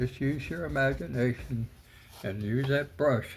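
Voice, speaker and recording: A man's very slow, relaxed delivery at a medium pitch, with ordinary pitch variation. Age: 80s+. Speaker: painting tutorial host. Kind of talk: tutorial. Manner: halting, many fillers; relaxed, casual.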